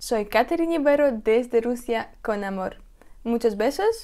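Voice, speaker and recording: A woman speaks at a fairly slow pace in a high pitch with ordinary pitch variation. Her tone is dark and mellow, and the background is quiet. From Russia. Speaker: video blogger; vlogger interviewing her grandmother. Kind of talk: vlog presentation. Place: home room. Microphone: lapel.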